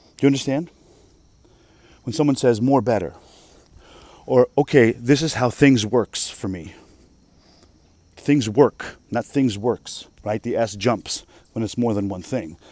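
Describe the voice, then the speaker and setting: A man speaks fairly slowly in a dark, mellow voice of medium pitch with ordinary pitch variation, leaving long, frequent pauses. The sound is dry and close, with no echo. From Russia. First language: Russian. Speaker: vlogger. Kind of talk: casual monologue. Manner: animated.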